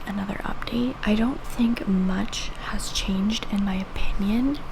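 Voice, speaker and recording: A woman speaks at a fairly slow pace in a monotone, flat intonation. Audible room echo and noticeable background noise surround her. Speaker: book reviewer. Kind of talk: reading vlog. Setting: at home. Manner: casual, chatty.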